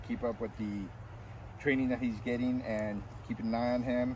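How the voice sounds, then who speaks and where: A man talks at a moderate pace in a dry sound with no echo. Noticeable background noise runs underneath. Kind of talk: interview answer. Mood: pleased, grateful. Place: open country.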